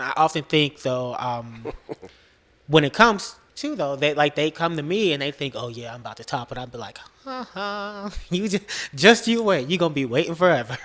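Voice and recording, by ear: A soft-spoken man talks at a moderate pace with a fairly high pitch. His tone is fairly bright, and his intonation is lively.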